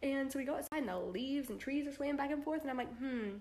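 Talking at a very fast pace, a woman uses a high pitch, an animated tone and ordinary pitch variation. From US South, Georgia. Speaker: vlogger. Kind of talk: casual vlog.

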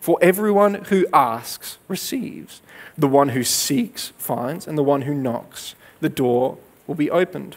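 A man speaks with a fairly high pitch. His pace is fairly slow. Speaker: preacher. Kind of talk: sermon. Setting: church. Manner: earnest, conversational teaching, steady pace. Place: stage. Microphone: headset.

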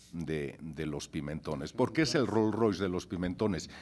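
A man's fairly slow speech with vocal fry. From Spain, Gijón (Asturias); Asturias, Spain. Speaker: chef; panelist. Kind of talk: conference talk. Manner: animated. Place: hall. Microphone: podium.

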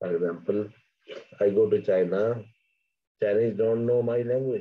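A man talks at a fairly slow pace. His pitch is fairly low with ordinary variation.

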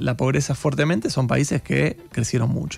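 Over faint background music, a man speaks at a medium pitch. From Argentina. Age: 40s. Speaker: economist; guest. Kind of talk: radio interview. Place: studio. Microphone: studio mic.

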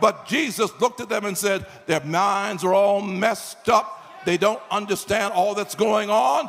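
Light background noise sits behind a man speaking at a high pitch and a fairly slow pace. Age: 80s+. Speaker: pastor. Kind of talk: sermon. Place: hall. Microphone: handheld.

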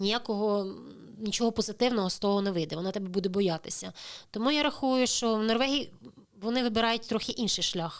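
A woman's plain, everyday voice, fairly high in pitch with ordinary pitch variation, at a fairly quick pace on a very clean recording with a silent background. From Crimea, Ukraine. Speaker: immigrant sharing experience. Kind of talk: interview.

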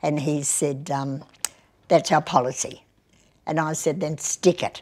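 With an Australian accent, a woman talks at a fairly slow pace in a very deep, low pitch with ordinary pitch variation. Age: 80s+. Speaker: mayor. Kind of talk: interview. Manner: outspoken. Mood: feisty, blunt, humorous. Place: meeting room. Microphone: lapel.

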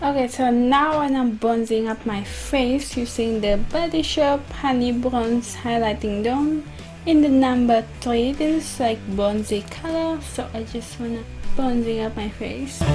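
A woman speaks at a fairly slow pace with ordinary pitch variation. Clear music plays in the background. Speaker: beauty vlogger. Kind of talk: makeup tutorial chat. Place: home room. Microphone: camera far.

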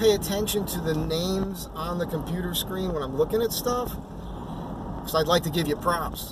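Noticeable background noise sits under a dry sound that has no echo. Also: man. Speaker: van vlogger. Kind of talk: casual vlog chat. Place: car. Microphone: phone near.

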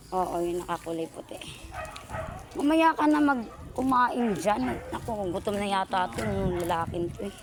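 Woman's medium-pitched voice at a moderate pace, very wide pitch swings, noticeable background noise. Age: 40s. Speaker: vlogger. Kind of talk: casual vlog narration. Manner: animated.

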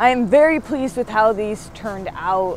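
Fairly quick speech from a woman, dry with no echo, over light background noise. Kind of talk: casual vlog chat. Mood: pleased, enthusiastic. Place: workshop.

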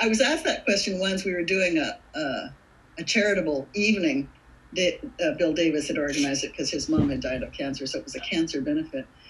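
The speaker is a woman. Her pace is fairly quick. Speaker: actress. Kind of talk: interview answer. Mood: warm, thoughtful. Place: home room. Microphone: webcam.

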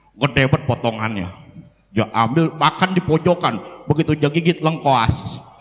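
Against a quiet background, a man speaks at a moderate pace. His intonation is lively while his loudness stays very even. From Jakarta. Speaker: preacher. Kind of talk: sermon. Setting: religious gathering. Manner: animated. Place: hall. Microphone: handheld.

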